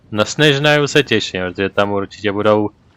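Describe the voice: A man speaks with a fairly low pitch, ordinary pitch variation and a moderate pace. His tone is fairly bright, clear and smooth.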